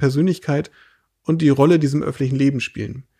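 A man with a fairly high pitch talks in a monotone, flat way. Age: 30s. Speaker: state politician. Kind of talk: casual interview. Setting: host's living room.

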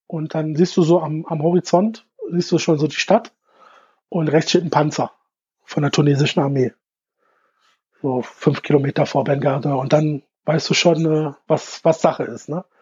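At a moderate pace and with long, frequent pauses, a man speaks in a fairly high voice with fairly even intonation. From Bielefeld and Innsbruck, then Stuttgart from 13. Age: 30s. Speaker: football fan and fanzine maker. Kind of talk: casual interview.

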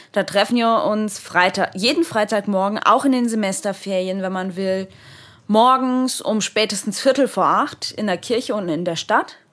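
This woman has an unremarkable speaking voice with a fairly high pitch. She talks at a moderate pace with ordinary pitch variation. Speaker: theology student. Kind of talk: casual chat.

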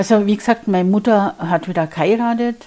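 A woman's dark, mellow, medium-pitched voice, fairly slow, with ordinary pitch variation. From Bavaria, Germany. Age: 50s. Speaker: podcast host and mindset coach. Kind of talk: personal storytelling monologue.

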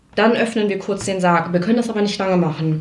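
Audible room echo surrounds a woman's voice. Her intonation is lively. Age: 20s. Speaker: nurse. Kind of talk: testimony.

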